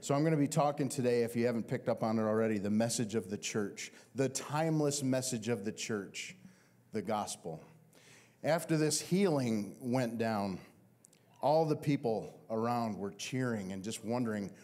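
A man speaks at a moderate pace with a dark, mellow tone. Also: ordinary pitch variation. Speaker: pastor. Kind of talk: sermon. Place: church. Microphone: handheld.

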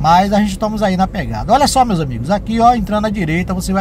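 A man talks with ordinary pitch variation, and noticeable background noise can be heard. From southern Bahia, Brazil. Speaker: travel vlogger. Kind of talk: vlog narration while driving. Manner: animated.

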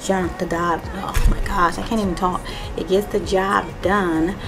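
A woman talks at a fairly slow pace with ordinary pitch variation. Clear music plays in the background. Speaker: home cleaning vlogger. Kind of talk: casual vlog chat. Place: bathroom. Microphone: camera far.

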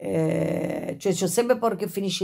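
Against a quiet background, a woman talks at a moderate pace in a medium pitch. Her voice has vocal fry and ordinary pitch variation. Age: 50s. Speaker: YouTuber with Tourette syndrome. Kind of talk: casual vlog monologue. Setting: at home, in bed. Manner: frequent vocal tics and sudden exclamations; halting, with many fillers. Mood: reflective, a bit agitated. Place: home room. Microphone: phone near.

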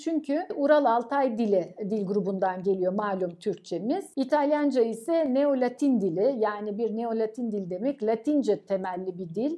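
A woman's high-pitched voice, dark and mellow in tone, with lively intonation, a fairly slow pace and a quiet background. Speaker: professor. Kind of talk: interview. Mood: warm, proud of students. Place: office. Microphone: camera far.

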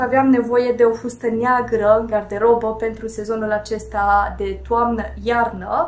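A woman using an unremarkable speaking voice keeps a moderate pace, her pitch fairly high. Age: 30s. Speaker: fashion and beauty vlogger; beauty vlogger. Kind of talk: casual fashion tutorial to camera. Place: home room.

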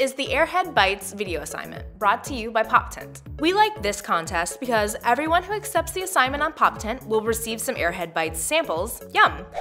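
Clear music plays in the background. The speech moves at a fairly quick pace with hardly any pauses. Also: woman. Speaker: web show host. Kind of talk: scripted show hosting. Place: studio.

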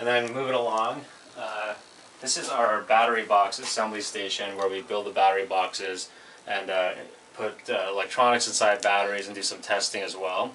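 In an ordinary speaking voice, a man talks at a moderate pace with a fairly low pitch and fairly even intonation over light background noise. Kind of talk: tour explanation. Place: workshop. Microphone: camera far.

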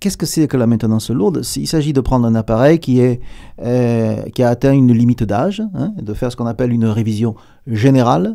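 A man's medium-pitched voice with a southern French accent, fairly quick in pace and dark, mellow in tone, with ordinary pitch variation over a quiet background. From southern France. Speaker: aerospace company executive; guest. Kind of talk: radio interview; interview answer. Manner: hesitant, many repetitions. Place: studio. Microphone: studio mic.

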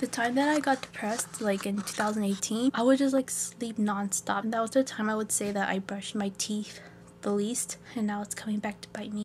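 With an American accent, a woman speaks at medium pitch and a moderate pace, her intonation fairly even over faint background noise.

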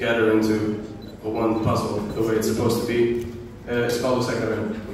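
A man speaks in a room with strong echo and light background noise. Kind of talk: stage banter introducing a song. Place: hall. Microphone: pa.

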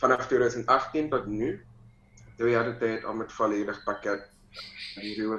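A man talks at a fairly slow pace, with audible echo from the room. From Suriname. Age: 20s. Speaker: mixed martial arts fighter; interviewee. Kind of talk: interview. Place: home room. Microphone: video call.

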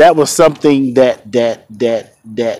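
There is light background noise as a man speaks, the sound dry and without echo. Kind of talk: personal tribute vlog. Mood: reflective, mournful. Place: street. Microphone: phone near.

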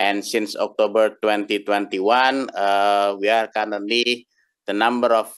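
A man with a fairly low pitch and monotone, flat intonation against a quiet background. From Indonesia. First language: Indonesian (speaking Russian). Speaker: domain registry representative; conference presenter. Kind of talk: conference talk. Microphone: video call.

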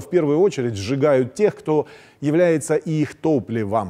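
Against a quiet background, a man's dark, mellow tone carries lively intonation. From Crimea. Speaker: TV political commentary host. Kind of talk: political commentary monologue. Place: studio.

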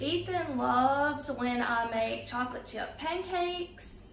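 Audible room echo surrounds a slow voice with a fairly bright tone and ordinary pitch variation. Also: woman, high pitch for a woman.

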